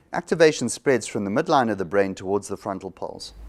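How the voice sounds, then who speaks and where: Talking at a fairly quick pace with lively intonation, a man has an ordinary speaking voice. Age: 60s. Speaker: psychologist. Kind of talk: interview.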